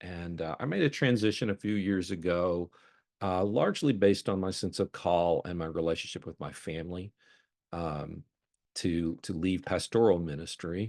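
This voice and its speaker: Against a quiet background, a man with a slight Mississippi accent speaks at a moderate pace in a very deep, low pitch with ordinary pitch variation, the sound dry and close with no echo. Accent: slight Mississippi Southern. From Mississippi, US South. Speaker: counseling center program director, former pastor. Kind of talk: lunchtime talk. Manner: halting, many fillers.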